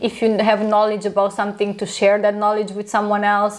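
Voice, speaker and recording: A woman's very fast speech in a Romanian accent, fairly high in pitch, with noticeable background noise. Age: 30s. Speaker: aesthetic doctor, clinic founder. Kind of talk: podcast interview.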